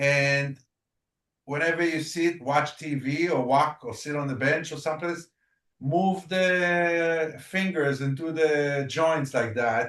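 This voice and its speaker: Here a man speaks at a very slow pace. His fairly high pitch keeps a fairly even intonation. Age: 60s. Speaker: tai chi instructor. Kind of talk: online class instruction.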